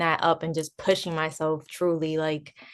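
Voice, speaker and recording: In a New Jersey accent, a woman talks at a fairly quick pace with a fairly low pitch. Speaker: DJ and music producer. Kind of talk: interview.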